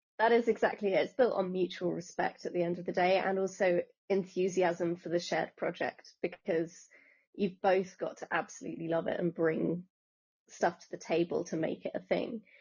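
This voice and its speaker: With an English accent, a woman speaks at a moderate pace and medium pitch, with fairly even intonation and big swings in loudness. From England. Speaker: author and scriptwriter. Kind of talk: interview.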